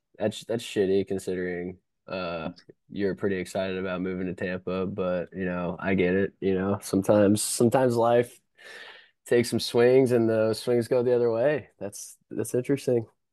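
A man's ordinary speaking voice, fairly low in pitch, at a moderate pace with ordinary pitch variation over a quiet background. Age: 20s. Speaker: podcast co-host. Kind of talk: casual chat. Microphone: new headset.

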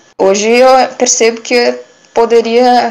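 A woman's normal speaking voice, fairly slow in pace, with ordinary pitch variation. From Brusque, Santa Catarina, southern Brazil. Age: 20s. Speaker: barista. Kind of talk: interview.

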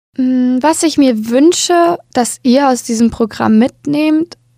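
A woman speaks very slowly in a dark, mellow tone, with a dry, close sound and no echo. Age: 20s. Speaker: podcast host. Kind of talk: solo monologue.

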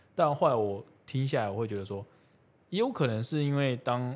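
In a very clean recording with a silent background, a man talks at an even, middling speed. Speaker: podcast host. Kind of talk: casual chat. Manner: talkative.

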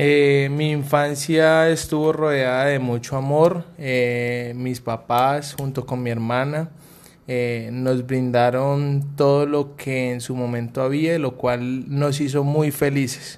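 At a very slow pace, a man talks with a fairly high pitch and monotone, flat intonation. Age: 30s. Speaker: air force non-commissioned officer. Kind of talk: interview answers. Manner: formal.

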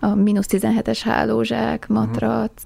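A woman is speaking. Her pace is fairly slow. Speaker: traveller. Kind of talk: interview. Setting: studio.

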